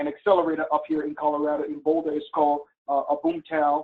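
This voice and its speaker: A man with a Liberian accent speaks at a fairly quick pace. His voice sits fairly high. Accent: Liberian accent, noticeable. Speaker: webinar presenter, business mentor. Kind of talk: webinar presentation. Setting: online webinar.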